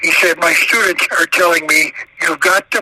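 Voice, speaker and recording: There is noticeable background noise as a man with an American accent talks at a moderate pace. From Arizona. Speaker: author. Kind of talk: interview. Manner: halting.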